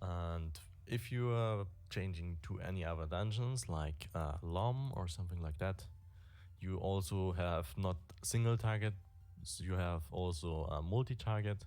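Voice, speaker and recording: A man with a non-native accent speaks at a fairly slow pace with a very deep, low pitch. His pitch varies in an ordinary way, and room echo is audible. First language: not English. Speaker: gaming streamer. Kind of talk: game guide tutorial. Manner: halting.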